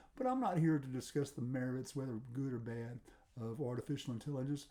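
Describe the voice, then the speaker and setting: Fairly quick and dark, mellow in tone, a man's voice shows ordinary pitch variation. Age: 70s. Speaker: guitar teacher. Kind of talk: casual talk to camera. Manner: halting, many fillers and repeats.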